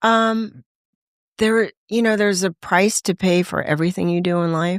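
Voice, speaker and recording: A woman with an American accent speaks at a moderate pace and a medium pitch, with fairly even intonation and a plain, everyday voice. The recording is very clean, with a silent background, and the sound is dry and close with no echo. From Los Angeles, US West Coast. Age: 60s. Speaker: voice actor and recovering addict. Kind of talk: testimony.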